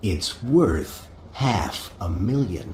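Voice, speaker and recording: A man does a put-on character voice at a fairly low pitch with lively intonation. Clear background noise runs underneath. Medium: audio drama.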